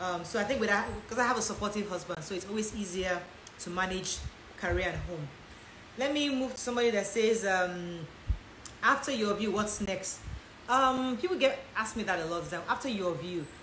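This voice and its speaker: In an American accent, a woman talks fairly quickly at a medium pitch with ordinary pitch variation. She leaves long, frequent pauses, and room echo is audible. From Nigeria (Lagos), high school years in the US. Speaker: lifestyle and relationship content creator. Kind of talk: live Q&A. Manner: fast.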